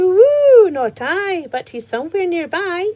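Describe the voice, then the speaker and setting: A woman uses a put-on, squeaky character voice at an extremely high pitch. She goes fairly slowly, with very wide pitch swings. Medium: read story.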